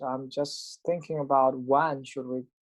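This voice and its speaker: A man speaks very slowly with a non-native accent. His pitch sits fairly high, and his intonation stays fairly even. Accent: foreign. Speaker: professor. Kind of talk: lecture. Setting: video call. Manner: halting.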